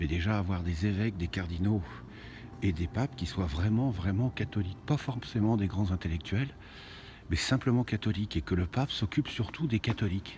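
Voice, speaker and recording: This man has a fairly low, somewhat breathy voice, speaking at a moderate pace with ordinary pitch variation and very even loudness. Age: 60s. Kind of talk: casual video monologue. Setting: inside a cathedral. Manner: halting, many hesitations.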